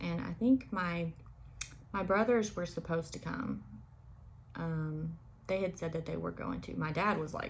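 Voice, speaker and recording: Noticeable background noise runs through the clip. A woman talks at a moderate speed. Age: 20s. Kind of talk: personal storytelling to camera. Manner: casual, hesitant with many fillers.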